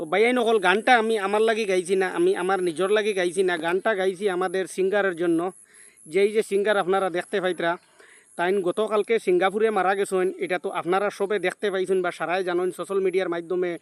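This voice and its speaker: A man's high-pitched, monotone voice with flat intonation, a dry, close sound with no echo and a quiet background. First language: Sylheti Bengali (speaking Bengali). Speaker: YouTuber. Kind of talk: vlog commentary.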